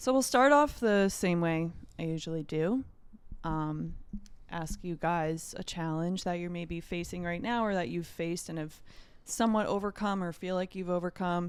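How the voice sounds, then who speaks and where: An unremarkable speaking voice from a woman, fairly low in pitch, at a moderate pace with ordinary pitch variation. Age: 20s. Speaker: podcast host, holistic health coach. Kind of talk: casual chat.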